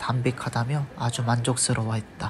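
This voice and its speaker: Noticeable noise fills the background as the words come at a fairly slow pace. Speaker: travel vlog narrator. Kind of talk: travel essay narration. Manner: occasionally stammers.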